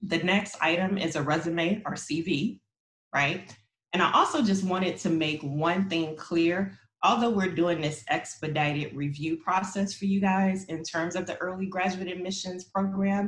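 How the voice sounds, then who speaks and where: This woman's voice sits at a medium pitch, somewhat breathy, with fairly even intonation. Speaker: university graduate admissions administrator. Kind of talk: panel presentation. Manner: fast.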